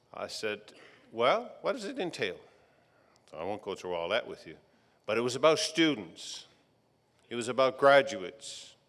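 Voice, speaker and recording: This man's loudness shifts in big swings. His pace is moderate, broken by long, frequent pauses. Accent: Newfoundland. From Newfoundland, Fogo Island. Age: 60s. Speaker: retired electrical engineer, commencement speaker. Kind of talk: graduation address.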